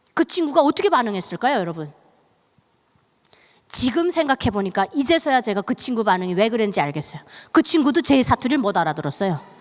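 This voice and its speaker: A woman in a North Korean accent, very fast with very wide pitch swings and long, frequent pauses, in a dry, close sound with no echo. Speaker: North Korean defector speaker. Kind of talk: testimony. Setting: church.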